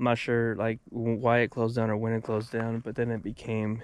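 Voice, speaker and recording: Recorded as a dry sound with no echo, a man talks at a moderate pace. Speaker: paranormal explorer vlogger. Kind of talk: casual vlog chat. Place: open country. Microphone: phone near.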